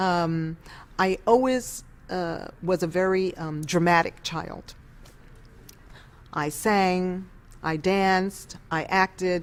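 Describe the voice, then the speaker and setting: Speaking with a New York accent, a woman keeps her medium-pitched voice at fairly even intonation. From New York City, East Harlem. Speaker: former opera singer. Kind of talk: interview.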